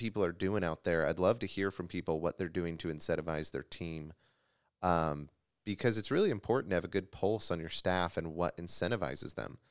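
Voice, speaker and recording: Very deep and low, a man's voice moves at a fairly quick pace with ordinary pitch variation on a very clean recording with a silent background. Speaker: insurance agency owner and podcast co-host. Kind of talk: casual chat. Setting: office. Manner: loud.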